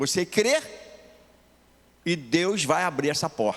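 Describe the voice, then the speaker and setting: A man's voice sits at a fairly high pitch and moves at a fairly slow pace. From Rio de Janeiro, Brazil. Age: 80s+. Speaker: pastor. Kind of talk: sermon.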